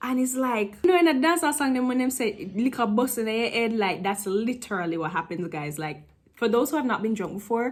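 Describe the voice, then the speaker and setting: Somewhat breathy and fairly high-pitched, a woman talks at a fairly quick pace in a Jamaican accent. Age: 20s. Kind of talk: casual storytime talk to camera.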